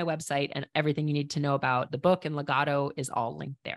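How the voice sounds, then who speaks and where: A woman with a Minnesota accent talks at a fairly quick pace against a quiet background, her voice dry and close with no echo. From Minnesota, Minneapolis. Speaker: professional climber and conservation entrepreneur. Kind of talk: casual interview.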